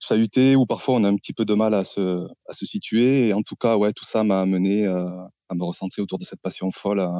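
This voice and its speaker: A man with a southern French accent, fairly low in pitch, at a fairly quick pace with fairly even intonation. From southern France, Occitanie. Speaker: gardening youtuber. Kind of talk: interview podcast. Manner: hesitant, many fillers.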